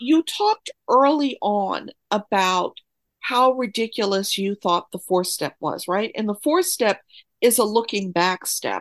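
A woman with an American accent speaks in an enthusiastic tone at a fairly slow pace, with lively intonation. The sound is dry and close, with no echo. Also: fairly high pitch for a woman. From New York. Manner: talkative, enthusiastic.

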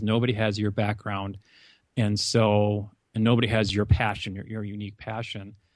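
A man with an Upper Midwest accent at a fairly quick pace. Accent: Upper Midwest American, mild. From US Upper Midwest, North Dakota. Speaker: college advisor and podcaster. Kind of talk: casual interview.

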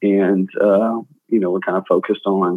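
An ordinary speaking voice from a man, fairly low in pitch, with ordinary pitch variation. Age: 20s. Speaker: real estate broker and former pro football player. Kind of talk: interview.

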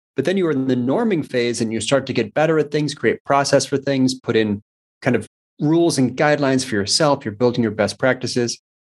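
At a fairly quick pace, a man with an unremarkable speaking voice and medium pitch talks with ordinary pitch variation in a dry, close sound with no echo. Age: 40s. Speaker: digital agency co-founder. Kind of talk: interview.

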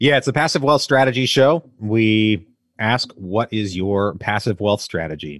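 Against a quiet background, a man with a fairly low pitch talks at a fairly slow pace in a normal speaking voice with lively intonation. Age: 30s. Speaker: real estate investor and podcaster. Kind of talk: interview.

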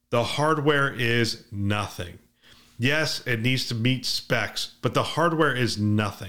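At a fairly slow pace, an ordinary speaking voice comes through a very clean recording with a silent background. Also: man. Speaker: podcast host. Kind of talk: news reading; casual chat. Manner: even, measured news-reader cadence; conversational.

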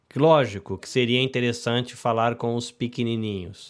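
At a fairly slow pace, a man speaks with medium pitch. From Brazil. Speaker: podcast host. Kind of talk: live podcast hosting. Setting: video call live stream. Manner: animated.

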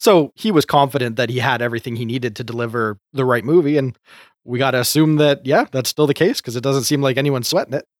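Very fast speech with ordinary pitch variation comes through a very clean recording with a silent background. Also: man, medium pitch for a man, dry, close sound with no echo. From Canada. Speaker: co-host. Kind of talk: casual chat.

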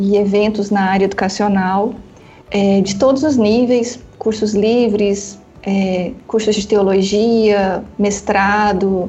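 A woman speaks in a flat monotone at a medium pitch. Music plays in the background, and the room echo is audible. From northern Paraná, Brazil. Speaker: author and theology school coordinator. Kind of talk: casual interview.

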